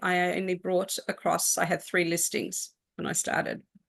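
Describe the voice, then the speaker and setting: This woman speaks in an Australian accent. Her voice sits at a medium pitch. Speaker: real estate agent. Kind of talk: interview. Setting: live stream.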